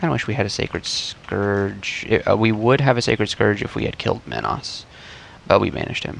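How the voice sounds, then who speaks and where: Noticeable background noise runs through this clip. A man talks at a fairly quick pace. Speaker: gaming video creator. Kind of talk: gameplay commentary. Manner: casual, hesitant with fillers.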